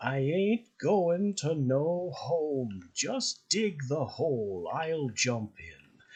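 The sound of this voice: A man does a raspy put-on character voice. He goes at a very slow pace with hardly any pauses. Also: fairly high pitch for a man.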